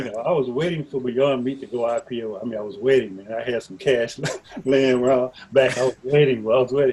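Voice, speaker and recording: Over noticeable background noise, a man speaks at a fairly quick pace with fairly even intonation and big swings in loudness. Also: medium pitch for a man. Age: 70s. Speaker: stock, options, futures and forex trader. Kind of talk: interview answer.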